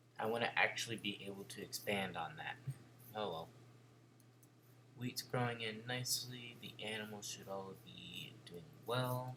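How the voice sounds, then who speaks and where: A man with fairly even intonation and long, frequent pauses over noticeable background noise. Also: medium pitch for a man, moderate pace. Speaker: gaming video creator. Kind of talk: gameplay commentary. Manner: casual, chatty.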